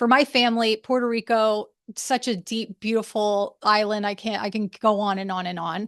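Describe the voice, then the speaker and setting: At a moderate pace and with hardly any pauses, a woman with a fairly high pitch uses an ordinary speaking voice and fairly even intonation. The sound is dry and close with no echo, and the background is quiet. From moved around as a US military child. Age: 40s. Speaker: podcast host. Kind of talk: solo podcast monologue. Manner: casual, conversational.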